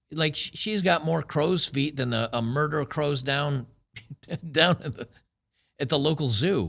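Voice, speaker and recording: On a very clean recording with a silent background, a man speaks fairly slowly with long, frequent pauses. His pitch is fairly high, with ordinary variation. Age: 50s. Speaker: commentary video host. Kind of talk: casual commentary monologue.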